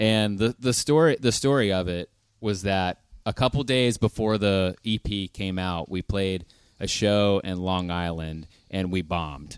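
A normal speaking voice with ordinary pitch variation talks at a fairly slow pace in a very clean recording with a silent background and a dry, close sound with no echo. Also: man, fairly low pitch for a man. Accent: American. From US, Pittsburgh. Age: 30s. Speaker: rock band lead singer. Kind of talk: casual chat. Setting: live stage with audience.

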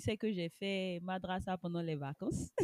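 Speaking at a fairly slow pace, a woman uses a medium pitch in a dry, close sound with no echo. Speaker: teacher and web writer. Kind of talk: casual interview.

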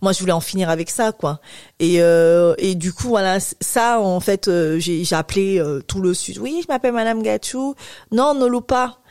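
A woman at a medium pitch with an ordinary speaking voice, lively intonation and a fairly slow pace, in a dry, close sound with no echo. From Cameroon. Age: 30s. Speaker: infertility patient association president. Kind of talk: interview testimony.

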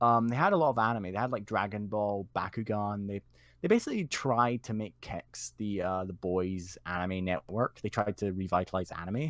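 In a Scottish accent, the voice keeps a moderate pace and ordinary pitch variation in a very clean recording with a silent background and a dry, close sound with no echo. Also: man, fairly low pitch for a man. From Scotland. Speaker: community member, guest. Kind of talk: casual interview chat. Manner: laid-back, chatty.

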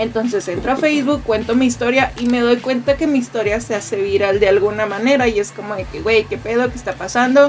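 A woman talks at a fairly quick pace with hardly any pauses, her fairly high pitch held in fairly even intonation. Noticeable background noise is present. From Mexico, Tijuana. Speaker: podcast host, audiovisual producer. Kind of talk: casual chat.

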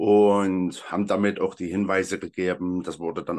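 A man talks in a very deep, low voice with monotone, flat intonation. The background is quiet. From Saxony, Freital near Dresden. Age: 30s. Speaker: hiking group founder and volunteer. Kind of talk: casual interview.

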